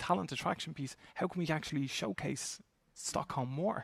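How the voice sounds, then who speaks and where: A somewhat breathy man with an Irish accent speaks at a fairly high pitch and fairly quick pace, on a very clean recording with a silent background and a dry, close sound with no echo. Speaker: talent acquisition executive. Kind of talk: panel discussion. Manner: halting.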